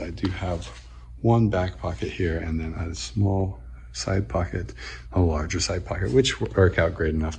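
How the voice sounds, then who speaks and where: Very deep and low, a man's voice carries vocal fry and a dark, mellow tone, with lively intonation at a moderate pace over light background noise. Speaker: fashion vlogger. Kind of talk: casual talk to camera.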